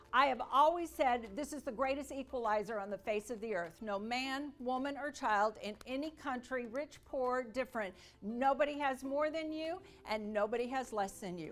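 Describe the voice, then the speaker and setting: Lively intonation marks a woman speaking at a moderate pace with music in the background. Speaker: sales speaker. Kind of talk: motivational speech / keynote to an audience. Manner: energetic, dynamic, upbeat.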